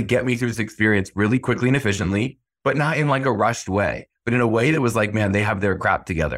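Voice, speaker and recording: The recording is very clean, with a silent background. The voice belongs to a man. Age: 30s. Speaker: dental marketing consultant. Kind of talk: interview. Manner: fast.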